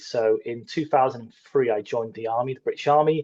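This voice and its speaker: A man with an English accent speaks at a fairly high pitch, his tone dark and mellow. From northern England, Middlesbrough. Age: 40s. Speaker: army veteran and entrepreneur. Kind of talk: podcast interview. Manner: hesitant, filler-heavy.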